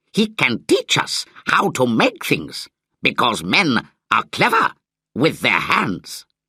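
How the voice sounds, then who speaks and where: Loud and fairly slow, the speaker uses a put-on character voice. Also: man, medium pitch for a man. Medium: read story. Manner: loud, boastful.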